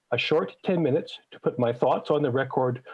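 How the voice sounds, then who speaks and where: A man speaks in a Canadian accent at a medium pitch. His voice is somewhat breathy and his pitch varies in an ordinary way. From Manitoba, Canada. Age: 60s. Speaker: citizen presenter at legislative committee. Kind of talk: public testimony to committee. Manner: formal.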